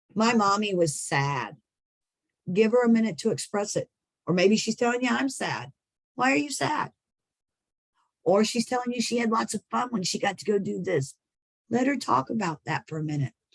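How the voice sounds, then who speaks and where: A woman speaks at a medium pitch, her voice somewhat breathy and swinging very widely in pitch. The sound is dry and close, with no echo. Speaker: early childhood trainer. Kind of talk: training lecture. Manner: fast.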